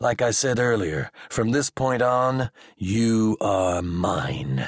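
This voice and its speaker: A man's medium-pitched voice at a very slow pace, with a dry, close sound and no echo. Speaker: audiobook narrator. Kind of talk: audiobook narration of sci-fi, with gruff drill instructor character voices.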